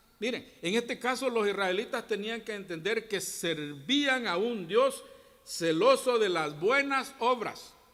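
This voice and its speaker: At a very slow pace, a man with a high pitch and a bright, sharp tone speaks with lively intonation. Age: 60s. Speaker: Bible teacher at a church. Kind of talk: Bible class teaching. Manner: halting, many false starts.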